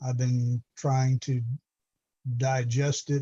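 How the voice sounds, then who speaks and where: A dark, mellow, somewhat breathy voice speaks at a very slow pace in a monotone, flat intonation. The sound is dry and close with no echo. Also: man. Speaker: judge. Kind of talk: court hearing. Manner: informal.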